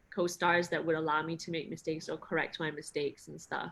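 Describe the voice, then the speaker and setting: A woman speaks at a fairly low pitch, her voice edged with vocal fry. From Singapore. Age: 30s. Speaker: actress. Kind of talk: interview.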